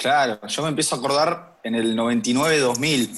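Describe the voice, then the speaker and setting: Over a quiet background, a man with a plain, everyday voice speaks at a moderate pace with lively intonation. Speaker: grandson of a football coach. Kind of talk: casual chat.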